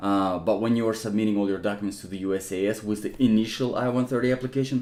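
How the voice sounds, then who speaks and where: With a non-native accent, a man talks very fast in a dark, mellow tone at a fairly low pitch. His intonation is fairly even. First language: not English. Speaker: immigration help youtuber, not an attorney. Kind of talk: Q&A tutorial answering viewer comments. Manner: casual with frequent fillers and restarts.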